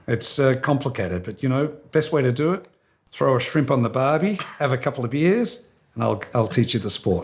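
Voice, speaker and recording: On a very clean recording with a silent background, a man with an Australian accent uses lively intonation and vocal fry. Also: medium pitch for a man, moderate pace. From Australia, Melbourne. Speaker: hotel company executive. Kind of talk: interview. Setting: sit-down interview near company headquarters.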